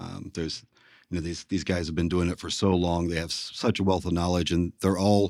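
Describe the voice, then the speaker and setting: A very deep, low-pitched man with an American accent, on a very clean recording with a silent background. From West Virginia (Huntington area). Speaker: slate roofer. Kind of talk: interview. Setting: on-site office. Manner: halting, many fillers.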